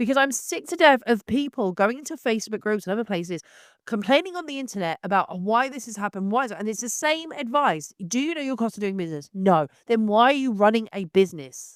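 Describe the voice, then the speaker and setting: A woman's very fast, animated delivery at a fairly high pitch, with very wide pitch swings, big swings in loudness, and a dry, close sound with no echo. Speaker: photographer and online educator. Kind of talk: opinionated vlog monologue. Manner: animated, blunt.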